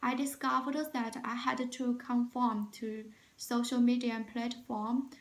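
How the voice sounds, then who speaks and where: This speaker has a Chinese accent and talks at a fairly slow pace in a monotone, flat intonation. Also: woman. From China. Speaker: job interview candidate. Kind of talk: mock job interview. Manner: halting, many fillers.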